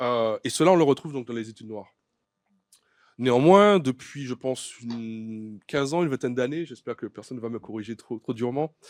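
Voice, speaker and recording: A man speaks at a fairly quick pace with medium pitch, ordinary pitch variation and big swings in loudness. The sound is dry and close with no echo, on a very clean recording with a silent background. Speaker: writer and doctoral researcher. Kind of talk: conference talk. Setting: conference with audience. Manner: fast; hesitant, many fillers.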